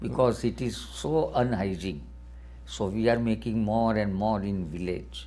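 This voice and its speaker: A man speaks at a fairly slow pace in a dark, mellow tone with fairly low pitch. His pitch swings very widely, and audible room echo surrounds him. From India, Gujarat. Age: 70s. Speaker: philanthropist. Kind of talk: interview. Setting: television studio. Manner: broken, halting English.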